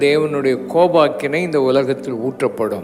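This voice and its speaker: Fairly even intonation over music in the background. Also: man. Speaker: preacher. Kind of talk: sermon / church service preaching.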